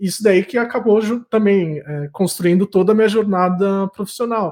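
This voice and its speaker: A man's high-pitched voice at a moderate pace. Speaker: podcast host, entrepreneur. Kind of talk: casual interview conversation.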